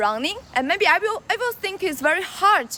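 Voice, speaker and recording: A woman's raised, projected voice in a Chinese accent, bright and sharp in tone, with very wide pitch swings at a moderate pace. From China. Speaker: livestreamer. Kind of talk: live stream chat while jogging. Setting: outdoors. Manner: halting.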